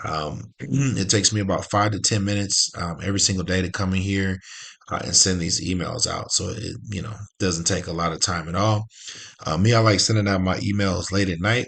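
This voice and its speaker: Over a quiet background, a man talks at a fairly quick pace. His pitch is very deep and low, with ordinary variation. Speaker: affiliate marketing youtuber. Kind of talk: tutorial. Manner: casual, many fillers.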